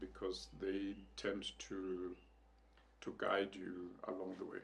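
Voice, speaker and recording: A man with a South African accent, fairly low-pitched, at a very slow pace. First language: Northern Sotho. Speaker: leadership consultant. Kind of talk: interview. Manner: reflective, with frequent hesitations.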